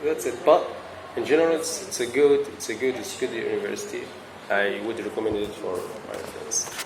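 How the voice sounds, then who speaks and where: Speech at a fairly quick pace comes through audible room echo and noticeable background noise. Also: man. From Libya. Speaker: international university student. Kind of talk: interview. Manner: halting, repeats words.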